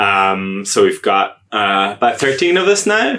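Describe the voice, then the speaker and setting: A man speaks with an Irish accent. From Ireland. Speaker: agile coach. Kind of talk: podcast interview. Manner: hesitant, many fillers.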